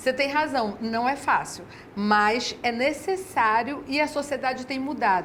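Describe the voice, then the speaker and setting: A woman speaks at a high pitch and a fairly slow pace. Room echo is audible. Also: ordinary pitch variation. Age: 60s. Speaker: educator and mother of six. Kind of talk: TV interview.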